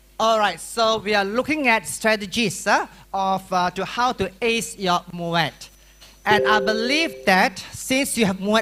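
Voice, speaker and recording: Raised, projected male voice, high in pitch, with ordinary pitch variation and a fairly slow pace. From Malaysia (rural Malacca). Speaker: secondary school teacher and exam workshop speaker. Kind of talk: workshop lecture. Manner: animated.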